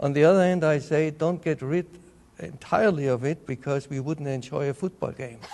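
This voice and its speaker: Over noticeable background noise, a man with a Bavarian accent talks at a fairly quick pace in a fairly high pitch. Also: ordinary pitch variation. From Bavaria, Germany. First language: German. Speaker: entomologist. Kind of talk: interview.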